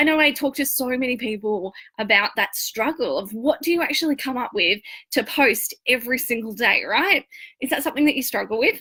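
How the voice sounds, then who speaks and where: Raising and projecting her high voice, a woman speaks fairly quickly with lively intonation, a bright, sharp tone and an Australian accent. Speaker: online marketing and branding coach. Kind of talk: live-stream training talk. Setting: live video stream. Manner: casual, chatty.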